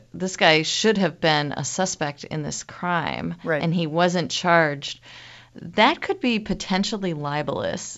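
The speaker talks at a fairly slow pace with vocal fry and ordinary pitch variation. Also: woman. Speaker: media ethicist. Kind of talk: interview.

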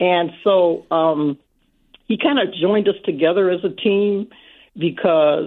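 With an American accent, a woman speaks at medium pitch. She has a plain, everyday voice and lively intonation. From Saint Paul, Minnesota. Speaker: caller. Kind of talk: radio call-in. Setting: phone call.

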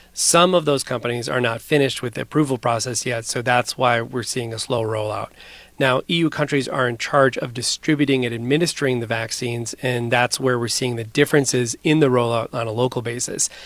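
A man talks at a fairly quick pace in an ordinary speaking voice, medium in pitch, with fairly even intonation. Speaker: foreign correspondent. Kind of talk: news report conversation.

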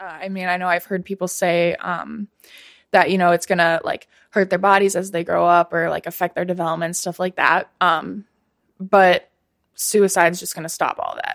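The delivery is monotone, with flat intonation, at a moderate pace. The speaker has an American accent. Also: woman, medium pitch for a woman. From Minnesota. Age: 20s. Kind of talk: recorded interview.

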